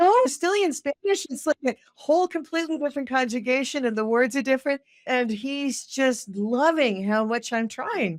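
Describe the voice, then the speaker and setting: A woman with a high pitch speaks with an animated tone and lively intonation, hardly pausing, in a dry, close sound with no echo. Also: moderate pace. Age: 60s. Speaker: violinist and marketing consultant. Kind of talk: interview conversation.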